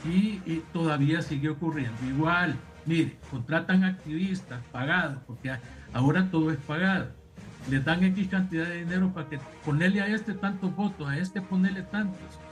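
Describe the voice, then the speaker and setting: With music in the background, a high-pitched man speaks at a moderate pace with ordinary pitch variation. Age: 60s. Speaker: lawyer and political analyst. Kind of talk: heated debate. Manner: animated.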